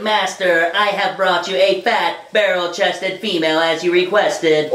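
At a middle pitch and a moderate pace, the speaker uses a cartoonish character voice. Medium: puppet show. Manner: flat, mechanical, obedient.

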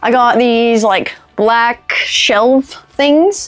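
A woman's high voice with ordinary pitch variation. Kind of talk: casual vlog chat. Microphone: lapel.

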